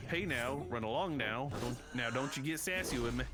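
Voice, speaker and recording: A man with a Southern US accent speaks at a fairly high pitch and a moderate pace with lively intonation, with audible room echo and noticeable background noise. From US South, North Carolina. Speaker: podcast host. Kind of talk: casual chat. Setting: live-streamed podcast.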